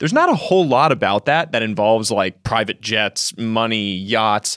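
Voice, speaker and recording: A man with an American accent speaks at a medium pitch with lively intonation and a fairly quick pace, in a plain, everyday voice. The recording is very clean with a silent background and a dry, close sound with no echo. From United States. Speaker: writer and entrepreneur. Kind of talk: interview conversation.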